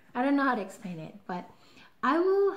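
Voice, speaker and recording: Her pace fairly quick, a woman speaks with ordinary pitch variation. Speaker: vlogger. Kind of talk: casual vlog. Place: home room. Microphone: webcam.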